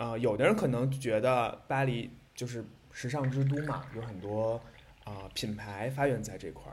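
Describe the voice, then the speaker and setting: Middle-range male voice, normal pitch movement, medium tempo. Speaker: podcast co-host, moderator. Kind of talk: casual chat. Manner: animated, laughs often.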